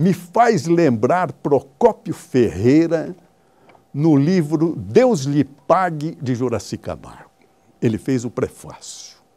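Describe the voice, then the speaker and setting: The speaker talks at a very slow pace, with very wide pitch swings and a dark, mellow tone. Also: man, fairly high pitch for a man. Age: 80s+. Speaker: veteran radio sports broadcaster. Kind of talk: interview.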